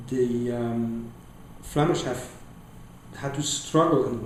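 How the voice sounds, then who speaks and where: Against noticeable background noise, a man speaks at a very slow pace at a medium pitch with ordinary pitch variation. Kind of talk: interview answer.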